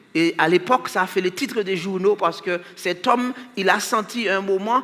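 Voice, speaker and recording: Over noticeable background noise, a man uses a raised, projected voice that is high in pitch, with fairly even intonation. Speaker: preacher. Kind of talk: sermon.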